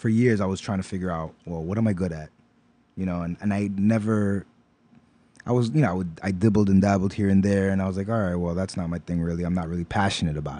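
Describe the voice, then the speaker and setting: Speaking at a very fast pace in a New York accent, a man with a very deep, low voice keeps his intonation fairly even. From New York, Brooklyn (East New York). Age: 40s. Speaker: knitter and designer. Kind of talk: casual interview.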